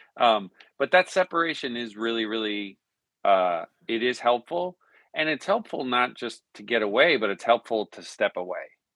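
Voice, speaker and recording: Speaking at a moderate pace and medium pitch, a man uses lively intonation with big swings in loudness. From Newfoundland, Canada. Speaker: worship songwriter and artist. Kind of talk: casual interview. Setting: home studio.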